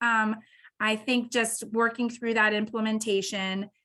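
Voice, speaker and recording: A woman speaks in a monotone, flat intonation. The background is quiet. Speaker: water utility presenter. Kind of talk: public meeting presentation. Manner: fast.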